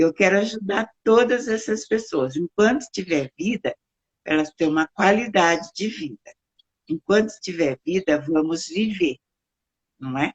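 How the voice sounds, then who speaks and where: In an unremarkable speaking voice, a woman at medium pitch talks at a fairly slow pace with lively intonation, the sound dry and close with no echo. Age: 60s. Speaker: founder of an elderly care service. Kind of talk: interview.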